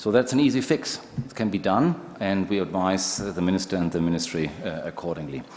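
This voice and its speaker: At a fairly quick pace, a man talks with a very deep, low pitch over noticeable background noise. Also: lively intonation. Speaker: manufacturing industry representative. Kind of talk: panel discussion.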